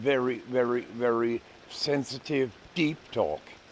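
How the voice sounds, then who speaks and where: Over noticeable background noise, a man at medium pitch speaks at a fairly slow pace with fairly even intonation. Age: 70s. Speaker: psychologist and life coach. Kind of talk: casual talk to camera. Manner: unhurried, with hesitations.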